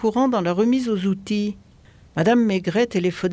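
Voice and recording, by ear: This is reading aloud in a natural voice. Pitch varies in an ordinary way.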